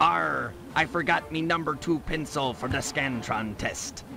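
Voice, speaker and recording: This is a put-on character voice. Clear background noise can be heard. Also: man, fairly high pitch for a man, moderate pace. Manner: joking, comedic.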